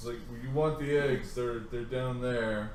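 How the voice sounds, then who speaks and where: A put-on character voice comes through at a fairly slow pace with a slight echo. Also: man, medium pitch for a man. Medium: actual play. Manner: halting, simple speech.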